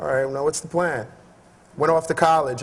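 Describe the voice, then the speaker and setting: An American accent marks this man's speech. His pitch is fairly high and his intonation fairly even. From Haiti, then Brooklyn, New York. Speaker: creative director and brand founder. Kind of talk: conference talk. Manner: casual, conversational.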